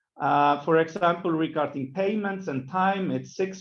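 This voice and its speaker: A man's fairly high voice with ordinary pitch variation, at a moderate pace, in a room with audible echo. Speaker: government minister. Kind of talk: conference presentation.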